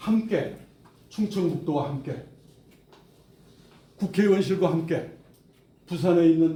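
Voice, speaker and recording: In a room with audible echo, a man with a high pitch and a dark, mellow tone speaks very slowly, his pitch variation ordinary. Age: 70s. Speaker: project committee chairman. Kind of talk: press conference statement. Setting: press conference.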